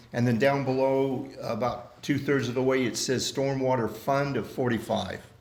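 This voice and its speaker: A man speaks at a moderate pace in a medium pitch. His intonation is monotone and flat, with audible room echo. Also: hardly any pauses. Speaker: community club officer chairing meeting. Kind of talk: meeting discussion. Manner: loud.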